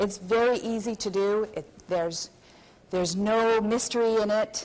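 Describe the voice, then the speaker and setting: A woman speaks in a French Canadian accent with ordinary pitch variation. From Quebec, Canada. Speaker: hypnotherapist and seminar presenter. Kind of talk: convention seminar lecture.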